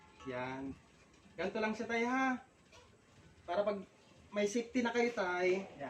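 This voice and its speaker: With long, frequent pauses, a woman at a medium pitch makes very wide pitch swings. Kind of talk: street sales pitch. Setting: live product demonstration in person. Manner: animated, fast, persuasive demonstrating talk; politely repetitive, addressing customers as tay, nay, ma'am.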